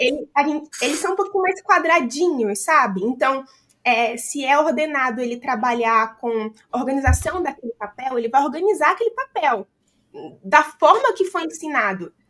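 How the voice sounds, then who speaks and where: At a moderate pace, a woman speaks in a high pitch with a bright, sharp tone and very wide pitch swings. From Brazil. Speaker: accountant and business founder. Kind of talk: podcast interview. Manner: casual, many fillers.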